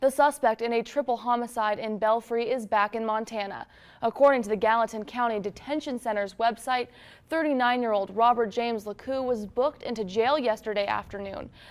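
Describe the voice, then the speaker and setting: A normal speaking voice from a woman with an American accent, fairly high-pitched, at a fairly quick pace, in a very clean recording with a silent background. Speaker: television news anchor and reporter. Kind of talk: local TV news anchor delivery. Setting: newsroom anchor desk, scripted read.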